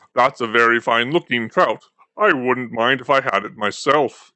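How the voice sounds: A man uses a put-on character voice at a medium pitch. It has a rumbling quality. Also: moderate pace.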